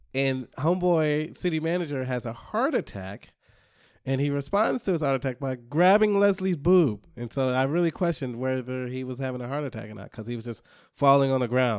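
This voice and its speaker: An unremarkable speaking voice from a man, fairly high in pitch, with lively intonation at a fairly quick pace, in a very clean recording with a silent background. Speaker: podcast co-host. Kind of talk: casual chat. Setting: studio.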